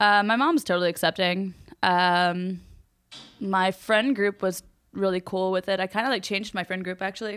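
A woman with a medium pitch speaks at a moderate pace. Her intonation is fairly even, and the recording is very clean with a silent background. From US South, North Carolina. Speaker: podcast guest. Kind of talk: casual chat.

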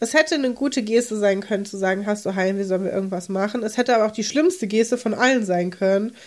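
Here a woman speaks at a fairly high pitch. Her pitch variation is ordinary. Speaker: podcast co-host. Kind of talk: casual chat. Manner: exaggerated energetic.

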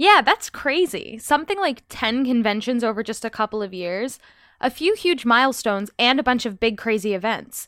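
A woman's unremarkable speaking voice, fairly high in pitch with lively intonation, at a moderate pace, in a very clean recording with a silent background. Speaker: podcast host. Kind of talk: casual chat.

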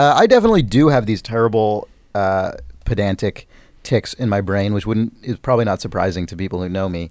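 With an American accent and an animated tone, a man with a fairly low pitch talks at a fairly quick pace against a quiet background. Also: ordinary pitch variation. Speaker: podcast host. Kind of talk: casual banter podcast. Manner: joking, animated.

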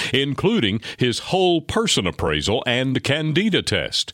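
A man speaks at a fairly high pitch and a fairly slow pace, with vocal fry and very wide pitch swings. The sound is dry and close, with no echo. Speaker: radio host. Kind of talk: radio show hosting and ad reads.

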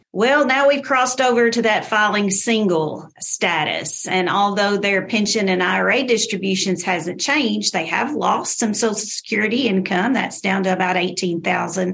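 There is noticeable background noise. A woman talks with ordinary pitch variation. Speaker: tax specialist. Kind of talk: radio interview explanation.

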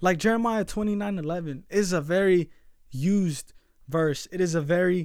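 A man talks with a high pitch and ordinary pitch variation. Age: 20s. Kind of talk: solo podcast sermon, youth-oriented preaching with rhetorical repetition. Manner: earnest and emphatic, building through repeated phrases like 'We are called'; casual filler-laden delivery with frequent restarts and 'you know'.

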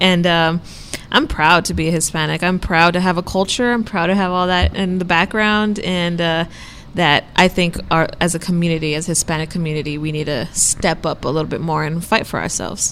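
Speaking fairly quickly in an ordinary speaking voice, a woman keeps a fairly low pitch and fairly even intonation. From Texas border, Brownsville. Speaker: student newspaper columnist. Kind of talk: casual chat.

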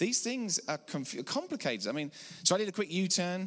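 In a very clean recording with a silent background, a man with an English accent speaks in a high, bright, sharp voice with lively intonation. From England. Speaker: preacher. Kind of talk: sermon. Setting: church.

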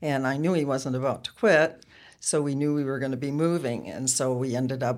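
This woman has an American accent and a very deep, low pitch. She talks at a fairly quick pace with fairly even intonation. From Wisconsin, US Upper Midwest. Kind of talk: casual interview.

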